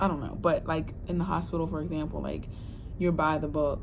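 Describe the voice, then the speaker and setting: This woman's pitch is very deep and low, with vocal fry. She talks at a fairly quick pace. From Delaware. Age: 20s. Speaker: social worker. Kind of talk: casual talk to camera.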